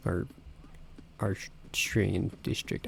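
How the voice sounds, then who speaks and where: A quiet, somewhat breathy male voice on a very clean recording with a silent background. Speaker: gaming video creator. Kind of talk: reading game dialogue aloud; let's play commentary. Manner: quiet, kept down.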